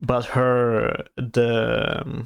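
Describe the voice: A man with a non-native accent, very slow, medium-pitched, clear and smooth in tone, with vocal fry and monotone, flat intonation.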